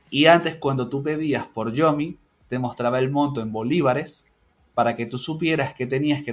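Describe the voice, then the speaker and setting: A man with an ordinary speaking voice at medium pitch, ordinary pitch variation, and a moderate pace. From Venezuela, Caracas. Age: 30s. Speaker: university statistics lecturer. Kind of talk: casual chat.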